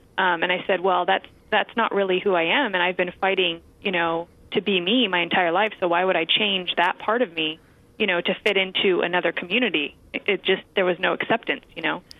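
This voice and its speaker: In a plain, everyday voice with an American accent, a woman talks at a fairly quick pace, her intonation fairly even and her loudness very even. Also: medium pitch for a woman. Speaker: actress and stand-up comedian. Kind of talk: interview chat.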